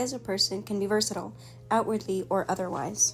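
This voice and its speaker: Music plays in the background as a woman speaks very fast. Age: young. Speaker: makeup artist. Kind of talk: reflective voiceover narration.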